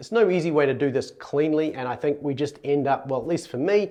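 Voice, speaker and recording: Speaking at a fairly quick pace, a man with a New Zealand accent has a fairly high pitch and ordinary pitch variation. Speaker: Greek language teacher. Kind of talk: educational talk.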